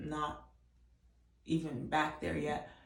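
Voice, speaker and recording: A soft-spoken voice with vocal fry moves at a very slow pace. Room echo is audible. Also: woman. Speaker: vlogger. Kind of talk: casual chat.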